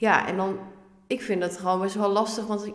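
A woman's medium-pitched voice with audible room echo and noticeable background noise. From Netherlands, Ermelo (Gelderland). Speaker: young first-time home seeker, party candidate. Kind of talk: podcast interview. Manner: animated, informal.

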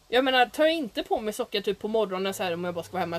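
Noticeable background noise sits behind a woman whose fairly high voice carries lively intonation. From Sweden. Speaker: podcast co-host. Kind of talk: casual chat.

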